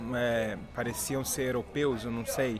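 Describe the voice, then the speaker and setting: Over noticeable background noise, a man speaks at a fairly slow pace with audible room echo. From Rio de Janeiro, Brazil. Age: 30s. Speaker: local tour guide. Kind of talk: guided walking tour. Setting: outdoors.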